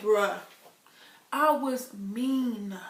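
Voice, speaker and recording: The delivery is animated, with lively intonation, heard through audible room echo and noticeable background noise. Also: woman. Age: 20s. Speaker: vlogger. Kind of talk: casual vlog.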